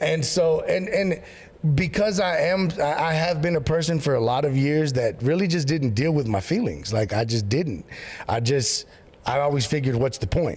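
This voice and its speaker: A man talks at a moderate pace in a fairly high, animated voice with lively intonation and very even loudness. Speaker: pastor. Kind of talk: casual chat.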